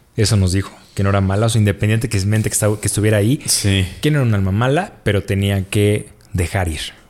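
In a Mexican accent, a man speaks at a fairly low pitch with fairly even intonation. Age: 30s. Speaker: office worker. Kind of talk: casual chat.

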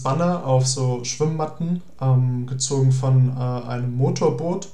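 Very slowly, a man speaks at medium pitch in a dark, mellow, somewhat breathy tone. Audible room echo surrounds the voice. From Germany, near Cologne. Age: young (19). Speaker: environmental volunteer. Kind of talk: interview.

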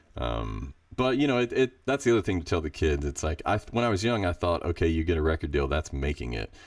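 A man speaks very fast with a very deep, low pitch and vocal fry. His pitch swings very widely. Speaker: a cappella bass singer. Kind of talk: casual interview. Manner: relaxed, conversational.

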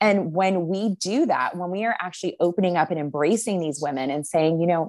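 A woman's unremarkable speaking voice at a medium pitch, with ordinary pitch variation and a fairly quick pace, on a very clean recording with a silent background. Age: 30s. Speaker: Bible teacher and ministry leader. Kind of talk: interview conversation.

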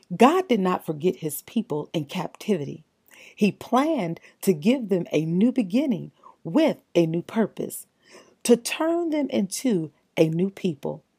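Heard in a dry, close sound with no echo, a woman of medium pitch speaks somewhat breathily at a fairly slow pace, her pitch swinging very widely. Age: 50s. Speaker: faith podcast host. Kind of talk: devotional encouragement talk. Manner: animated.

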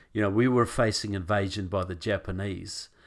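On a very clean recording with a silent background, a man with a fairly low pitch talks at a moderate pace with ordinary pitch variation. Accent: New Zealand. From New Zealand. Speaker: author and activist guest. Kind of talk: interview on politics and faith.

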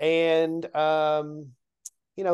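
A man with a Southern US accent, his pitch fairly high, against a quiet background. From US South, Nashville, Tennessee. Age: 50s. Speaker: comedian. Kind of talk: casual chat.

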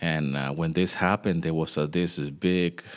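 Very deep and low, a man's voice carries vocal fry. He speaks at a fairly slow pace. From Venezuela. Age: 40s. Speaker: music composer and podcast host. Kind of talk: solo podcast monologue. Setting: home studio. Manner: hesitant, many fillers.

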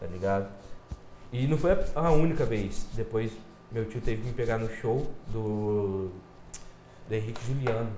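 A man at medium pitch talks with ordinary pitch variation and long, frequent pauses. Audible room echo is present. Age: 20s. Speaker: podcast guest. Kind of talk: casual chat.

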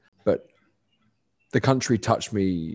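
A man with a London accent speaks at fairly low pitch in a very clean recording with a silent background. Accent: southern English (London). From London, England. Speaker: cricketer and nonprofit founder. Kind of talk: podcast interview.

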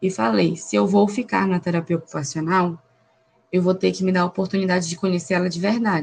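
A woman's somewhat breathy, fairly low voice at a fairly quick pace, with ordinary pitch variation. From Brazil, Pará. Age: 20s. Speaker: occupational therapy student. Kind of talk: casual interview.

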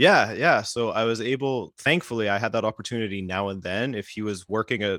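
The speaker has a Western Canadian accent and talks at a fairly quick pace with ordinary pitch variation. It is a very clean recording with a silent background and a dry, close sound with no echo. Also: man. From Western Canada, British Columbia. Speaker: YouTube soccer creator. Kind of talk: casual chat.

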